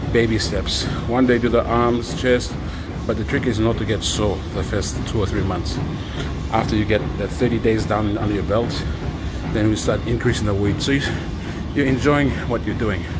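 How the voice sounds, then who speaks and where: Over loud background noise, the speaker keeps a moderate pace with ordinary pitch variation and long, frequent pauses. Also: man. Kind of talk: casual vlog chat. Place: gym. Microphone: phone near.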